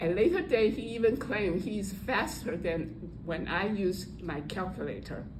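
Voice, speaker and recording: A woman speaks at a fairly slow pace with hardly any pauses, in a medium pitch with ordinary pitch variation, amid audible room echo and noticeable background noise. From Taiwan. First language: Mandarin Chinese. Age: old. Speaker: Toastmasters speaker, retired statistician. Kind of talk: prepared speech. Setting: speaking club meeting with audience.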